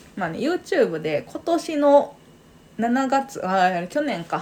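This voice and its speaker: Her pitch swinging very widely, a woman speaks at a very slow pace. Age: 30s. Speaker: podcast co-host. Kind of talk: casual chat.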